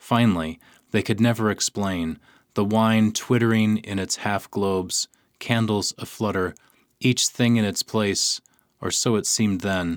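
A normal speaking voice at a fairly slow pace with fairly even intonation, on a very clean recording with a silent background and a dry, close sound with no echo. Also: man, fairly low pitch for a man. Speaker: radio host and poetry reader. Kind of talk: poem reading. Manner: slow, measured, hushed and lyrical; deliberate pauses at line breaks.

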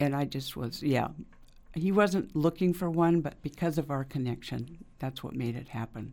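With an American accent, a woman speaks at a very deep, low pitch in a dark, mellow tone, her pitch varying in an ordinary way. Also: moderate pace. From eastern Oregon. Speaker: artist. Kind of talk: interview. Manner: halting.

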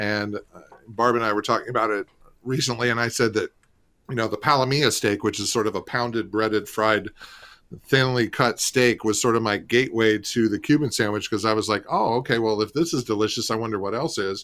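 An ordinary speaking voice with an American accent talks at a fairly quick pace with fairly even intonation in a very clean recording over a silent background. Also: man, medium pitch for a man. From St. Petersburg, Florida. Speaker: restaurant marketing executive and former food writer. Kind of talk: radio interview.

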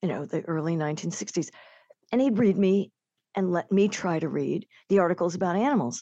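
A woman's medium-pitched, dark and mellow voice with lively intonation at a moderate pace, dry and close with no echo over a quiet background. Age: 60s. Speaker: nature writer. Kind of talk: interview. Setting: remote from home.

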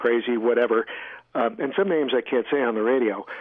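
Noticeable background noise runs under a man's voice. He speaks at medium pitch and a fairly quick pace with ordinary pitch variation. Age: 60s. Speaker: author and environmental activist. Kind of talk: radio interview. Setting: remote line from home. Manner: halting, frequent fillers.

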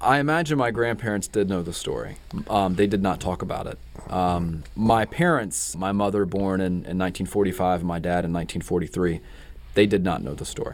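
Very deep and low, a man's voice comes with a North Carolina accent at a fairly quick pace. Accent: Southern US (North Carolina). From North Carolina (Gastonia). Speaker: novelist. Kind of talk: interview. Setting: radio studio.

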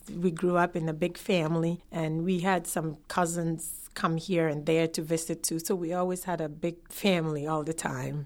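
A woman with a Ghanaian accent talks at a moderate pace in a fairly low voice, her intonation monotone and flat. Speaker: immigrant. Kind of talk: interview testimony.

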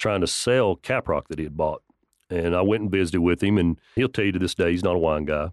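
A man with a West Texas accent and a very deep, low pitch talks at a fairly quick pace with fairly even intonation. The sound is dry and close with no echo, against a quiet background. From West Texas, near Lubbock. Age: 50s. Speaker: farmer and winemaker. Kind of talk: radio interview.

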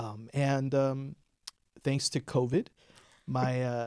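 In a Western New York accent, a man with a medium pitch speaks at a fairly slow pace. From Buffalo, New York (Lower West Side). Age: 40s. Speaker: filmmaker. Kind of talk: interview. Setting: studio.

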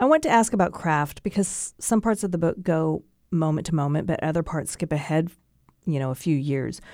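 A normal speaking voice from a woman, fairly low in pitch with ordinary variation and a fairly quick pace, on a very clean recording with a silent background. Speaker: radio host. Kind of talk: interview. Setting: studio.

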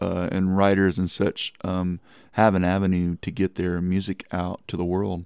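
In a very clean recording with a silent background and a dry, close sound without echo, a man with a Texan accent talks fairly slowly in a fairly low pitch with a dark, mellow tone. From Texas Hill Country (Kerrville). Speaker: singer-songwriter. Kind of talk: radio interview.

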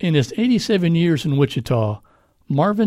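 A man's dark, mellow tone comes across somewhat breathy, with lively intonation. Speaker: radio host. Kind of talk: news reading.

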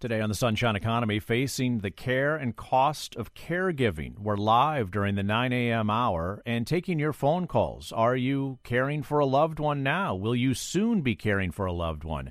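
With a plain, everyday voice, a man of medium pitch talks at a moderate pace with lively intonation and hardly any pauses. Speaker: radio host. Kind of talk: radio call-in show. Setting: studio.

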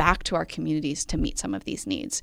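With an American accent and vocal fry, a woman speaks at a fairly quick pace on a very clean recording with a silent background. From US Midwest. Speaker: nonprofit project director. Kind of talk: radio interview.

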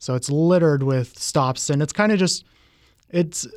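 With a plain, everyday voice, a man speaks at a moderate pace with fairly high pitch and ordinary pitch variation. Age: 30s. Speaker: game enthusiast. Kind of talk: radio interview.

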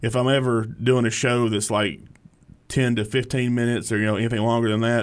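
This voice belongs to a man. He speaks with an Alabama accent. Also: very clean recording, silent background. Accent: US Southern (Alabama). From Alabama (Hartsville area). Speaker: stand-up comedian. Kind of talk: casual interview.

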